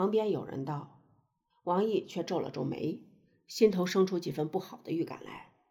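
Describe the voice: Plain reading aloud is heard against a quiet background, with ordinary pitch variation.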